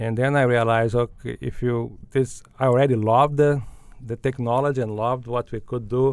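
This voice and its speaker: A man with a Portuguese accent, medium pitch, fairly quick pace and monotone, flat intonation. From Brazil, Belo Horizonte. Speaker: business school dean. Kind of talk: interview. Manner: halting, many fillers and repetitions.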